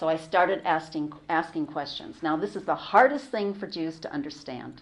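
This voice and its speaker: With an American accent, a woman of fairly low pitch speaks at a moderate pace in an unremarkable speaking voice. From US West Coast. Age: 60s. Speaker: convert giving a talk. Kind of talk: talk to students.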